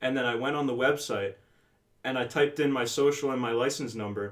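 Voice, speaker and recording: A man speaks with a New Jersey accent and fairly even intonation. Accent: New Jersey American. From northern New Jersey, Bergen County. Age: 18. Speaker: podcast co-host. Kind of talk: casual chat.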